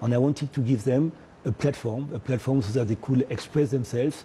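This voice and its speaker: Speaking with a French accent, a man uses ordinary pitch variation. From French Caribbean. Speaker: media entrepreneur. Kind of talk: TV interview. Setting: TV studio. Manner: hesitant, many fillers.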